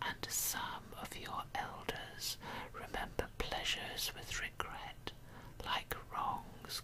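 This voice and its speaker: A woman whispering at a very slow pace. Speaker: poetry reader. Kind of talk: ASMR poetry reading. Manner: whispered. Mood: calm, intimate. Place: home room. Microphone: studio mic.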